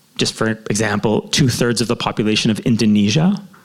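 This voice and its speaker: A male voice in a Canadian accent at medium pitch and moderate pace, with noticeable background noise. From Canada, Toronto. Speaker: journalist and author. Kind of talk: live interview on stage.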